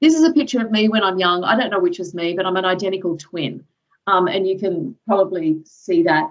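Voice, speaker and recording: A woman's medium-pitched voice with an American accent and lively intonation. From Australia, Sydney southern suburbs. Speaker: professor. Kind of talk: lecture. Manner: casual, with many fillers.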